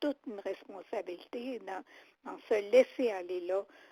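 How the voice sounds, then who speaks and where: This woman has a fairly high pitch and speaks with a Quebec accent at a fairly slow pace, with ordinary pitch variation. The sound is dry and close, with no echo. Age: 80s+. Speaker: retired seniors' rights advocate. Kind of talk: interview answer.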